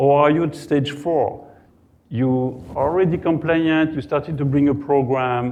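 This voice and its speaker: A man speaks fairly slowly with a fairly high pitch, in a French accent. Audible room echo surrounds his voice. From France. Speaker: cybersecurity compliance consultant. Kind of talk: conference talk. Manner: halting.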